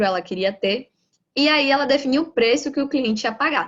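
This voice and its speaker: A woman at a moderate pace with lively intonation. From Brazil, Bahia. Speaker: lean manufacturing professional, lecturer. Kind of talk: lecture.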